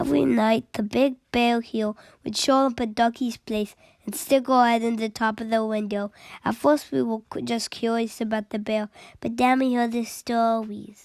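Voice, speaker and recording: Putting on a whiny character voice, a woman speaks at a moderate pace and fairly high pitch with ordinary pitch variation, recorded very cleanly against a silent background. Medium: read story. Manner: whiny, timid.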